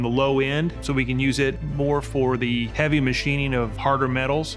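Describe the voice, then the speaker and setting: The voice moves at a fairly quick pace in a monotone, flat intonation, with clear music in the background. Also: man. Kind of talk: interview answer. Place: shop.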